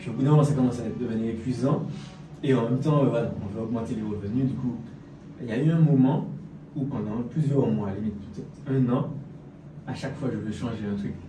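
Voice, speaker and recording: The speech moves at a fairly quick pace but has long, frequent pauses. Audible room echo and noticeable background noise come through. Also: man, medium pitch for a man, ordinary pitch variation. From French Antilles. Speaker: fitness and business coach. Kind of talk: casual interview.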